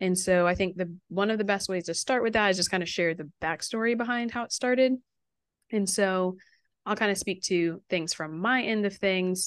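Pitch variation is ordinary, and the pace is moderate in a plain, everyday voice. Behind it, the background stays quiet. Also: woman, medium pitch for a woman. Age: 20s. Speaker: podcast co-host, counter-trafficking nonprofit worker. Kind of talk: casual chat.

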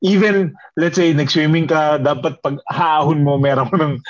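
A man with a plain, everyday voice speaks at a moderate pace and a fairly high pitch, using ordinary pitch variation. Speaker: podcast co-host. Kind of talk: casual chat.

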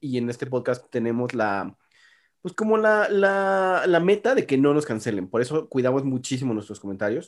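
A man talks with a medium pitch at a moderate pace. His pitch swings very widely. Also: very clean recording, silent background. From Mexico City. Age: 30s. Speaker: podcast co-host. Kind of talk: casual chat. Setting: apartment home recording.

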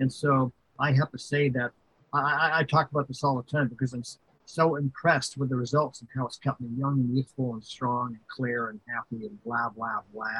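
A man at medium pitch with a bright, sharp tone and fairly even intonation. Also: moderate pace, dry, close sound with no echo. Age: 70s. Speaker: video game record keeper. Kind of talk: interview conversation.

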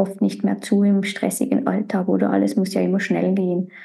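Medium-pitched female speech at a moderate pace, in a monotone, flat intonation. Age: 30s. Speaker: podcast host. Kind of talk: casual chat.

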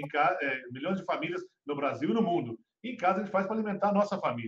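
Very fast male speech at a high pitch. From Brazil, Minas Gerais. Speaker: food industry association head. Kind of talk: interview. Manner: halting.

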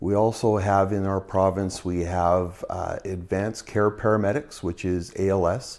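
In a very clean recording with a silent background, a man with a Canadian accent speaks in a normal speaking voice, fairly low in pitch and with fairly even intonation. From British Columbia, Canada (Burnaby). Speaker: paramedic. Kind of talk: interview.

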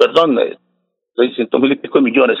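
A man talks at a moderate pace. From Colombia, Santander (Floridablanca). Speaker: city councillor. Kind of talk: radio interview.

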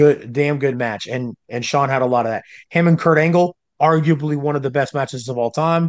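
A plain, everyday voice: a man with a fairly high pitch and fairly even intonation at a fairly quick pace, dry, close sound with no echo, quiet background. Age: 30s. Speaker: wrestling commentator. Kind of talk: casual chat.

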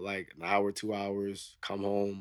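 A man speaks with a New York accent. His pace is moderate. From New York (Queens). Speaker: military veteran. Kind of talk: casual chat.

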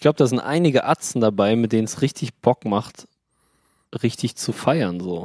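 A man's medium-pitched voice at a moderate pace, lively in intonation, with a dry, close sound and no echo. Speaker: podcast co-host. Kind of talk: casual chat. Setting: remote call from beach on holiday.

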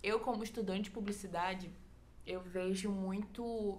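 In a room with audible echo, a woman speaks at a fairly slow pace with a medium pitch, fairly even intonation and a somewhat breathy sound. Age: 20s. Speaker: church youth volunteer. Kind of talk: casual chat.

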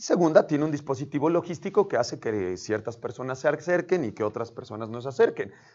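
A man talks at a very fast pace with hardly any pauses, his fairly high pitch swinging very widely. His loudness rises and falls sharply over a quiet background. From San Martín Texmelucan, Puebla, Mexico. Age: 30s. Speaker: local political candidate. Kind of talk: interview.

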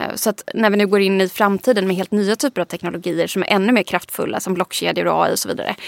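In a very clean recording with a silent background, a woman speaks at a very fast pace with vocal fry. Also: dry, close sound with no echo. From Sweden, Småland. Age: 30s. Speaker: digital strategist and author. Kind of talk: interview conversation. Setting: studio.

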